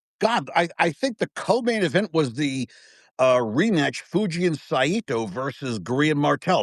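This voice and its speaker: A man at a moderate pace, animated in tone, his pitch swinging very widely, against a quiet background. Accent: American. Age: 50s. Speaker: wrestling fan guest. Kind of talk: casual chat.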